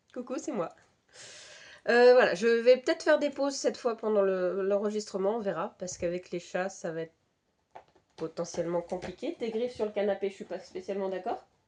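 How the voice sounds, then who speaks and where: A woman with a medium-pitched voice talks at a fairly quick pace with lively intonation. Her loudness swings widely, and she leaves long, frequent pauses. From Brittany, France. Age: 30s. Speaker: knitting podcaster. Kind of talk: casual chat. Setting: home, cats around. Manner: hesitant, many fillers.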